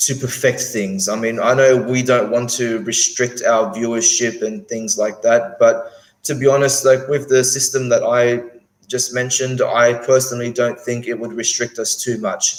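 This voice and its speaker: A man at medium pitch, moderate pace and fairly even intonation. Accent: Australian. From Australia. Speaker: whisky YouTuber. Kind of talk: live stream chat. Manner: halting, many fillers.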